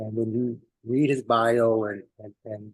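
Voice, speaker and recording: This man speaks at a medium pitch with a New York accent. His intonation is flat and monotone. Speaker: community elder giving health talk. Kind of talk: speech at community celebration. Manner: halting, many fillers.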